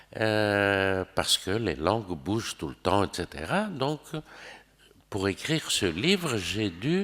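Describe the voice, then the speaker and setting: The intonation is lively. The pace is very slow. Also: man. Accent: Greek. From Greece. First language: Greek (speaking French). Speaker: novelist. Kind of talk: interview. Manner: hesitant, with fillers.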